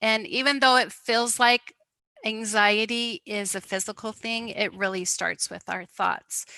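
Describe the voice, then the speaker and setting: An ordinary speaking voice moves at a fairly slow pace with ordinary pitch variation, in a dry, close sound with no echo. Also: woman. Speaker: wellness presenter. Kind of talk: talk to online group.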